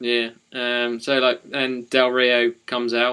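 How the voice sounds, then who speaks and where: In an East of England accent, the speech is fairly slow, bright and sharp in tone, and monotone and flat in intonation. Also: man. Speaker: wrestling podcast co-host. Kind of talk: casual chat. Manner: hesitant, many fillers.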